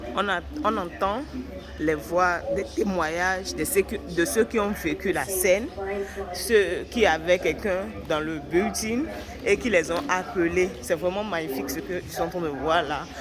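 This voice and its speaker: A woman's fairly low pitch with ordinary variation, at a fairly slow pace, amid noticeable background noise and audible room echo. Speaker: travel vlogger. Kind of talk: walking vlog commentary. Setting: walking through a museum exhibit. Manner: quiet, low voice; halting.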